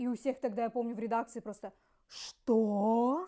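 The voice is a woman's, dark and mellow in tone. It sits fairly high in pitch with ordinary pitch variation. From Russian Far East, Ussuriysk. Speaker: podcast co-host. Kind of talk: casual chat.

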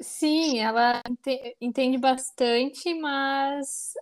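A woman talks in a high-pitched voice. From Brazil. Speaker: podcast co-host, Brazilian friend. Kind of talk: casual conversation. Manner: hesitant, many fillers.

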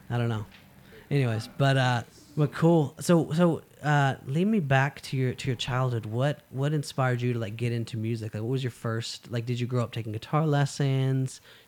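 Here a man uses an ordinary speaking voice, speaking at a moderate pace with a medium pitch and ordinary pitch variation. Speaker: podcast host. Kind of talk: casual interview chat.

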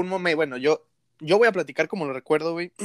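On a very clean recording with a silent background, a man's fairly high-pitched voice sounds dry and close with no echo. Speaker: podcast host. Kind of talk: casual chat.

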